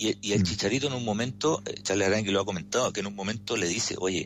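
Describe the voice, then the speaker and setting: Very fast and marked by vocal fry, a man speaks at a fairly low pitch with a Chilean accent. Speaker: sports commentator. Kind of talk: radio sports commentary.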